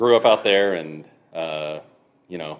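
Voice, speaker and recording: The speaker has a Texan accent and keeps a moderate pace. Pitch varies in an ordinary way. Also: man. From Texas, Clyde near Abilene. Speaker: brewery co-owner. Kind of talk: podcast interview.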